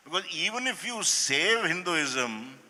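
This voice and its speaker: Noticeable background noise sits behind a man's voice. He talks at a very slow pace with very wide pitch swings. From India. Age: 60s. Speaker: professor of political science. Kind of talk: panel conversation at literature festival.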